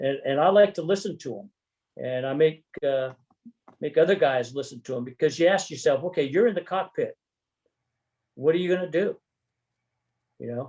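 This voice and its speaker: Speaking with an American accent, a man uses a dark, mellow tone at a moderate pace, with ordinary pitch variation, big swings in loudness, and long, frequent pauses. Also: fairly high pitch for a man. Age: 70s. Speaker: retired army general and pilot. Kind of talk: interview.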